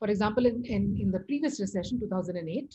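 Against a quiet background, a woman talks at a moderate pace with vocal fry and lively intonation. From India. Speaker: economics professor. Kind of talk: lecture. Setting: video call. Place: home room. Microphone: video call.

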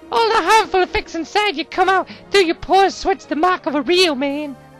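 Someone speaks in a put-on character voice at a fairly quick pace. Clear music plays in the background. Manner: creepy, boastful.

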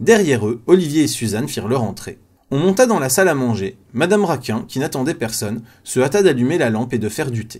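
Speaking at a fairly quick pace, a man with a medium-pitched voice uses lively intonation and big swings in loudness. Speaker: audiobook narrator. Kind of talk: reading aloud. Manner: fast.

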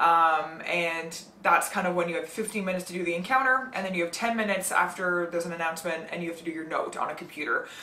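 A woman with a fairly low pitch talks at a very fast pace, her pitch varying in an ordinary way. Light background noise and audible room echo surround her. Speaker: medical student vlogger. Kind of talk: casual vlog chat. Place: home room.

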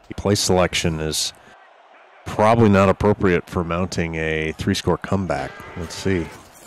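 In a relaxed tone, a man with a very deep, low pitch speaks at a moderate pace and fairly even intonation against noticeable background noise. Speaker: color commentator. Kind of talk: color commentary analysis. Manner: relaxed, conversational, with filler words.

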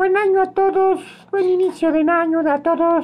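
A man puts on an extremely high-pitched character voice and talks at a moderate pace. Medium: role play.

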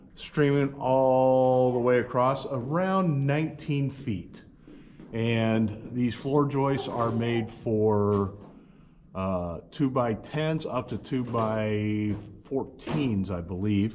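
Very slow speech from a man with ordinary pitch variation, amid noticeable background noise. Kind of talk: casual vlog chat. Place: workshop. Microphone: camera far.

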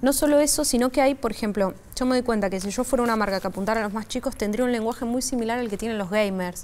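A woman with a fairly high pitch rushes along at a very fast pace, with hardly any pauses and ordinary pitch variation. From Argentina, Buenos Aires. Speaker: social media influencer. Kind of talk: interview; interview answer. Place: studio. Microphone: lapel.

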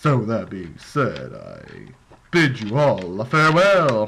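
Speaking in a put-on character voice, the speaker uses a low-to-middle pitch at a fairly slow pace. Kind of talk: voice acting audition. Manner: comedic, hammy.

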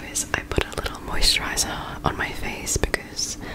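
A woman is whispering. She goes at a fairly quick pace. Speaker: ASMR creator. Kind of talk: ASMR casual talk to camera. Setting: close microphone recording at home. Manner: whispered, soft-spoken. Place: home room. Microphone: studio mic.

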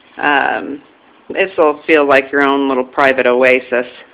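At a fairly slow pace, a woman is talking. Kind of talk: casual walkthrough commentary. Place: home room. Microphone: phone near.

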